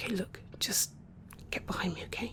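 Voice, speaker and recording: Over light background noise, a woman puts on a raspy character voice at a moderate pace. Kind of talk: audio drama roleplay. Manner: confident, then panicked.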